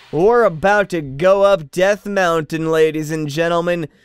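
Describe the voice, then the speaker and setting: With music in the background, a man speaks in a high pitch. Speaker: gaming commentator. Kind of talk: let's play commentary. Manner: monotone; low energy.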